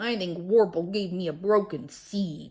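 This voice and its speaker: A woman's growling, put-on character voice at a medium pitch and a moderate pace. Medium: read story.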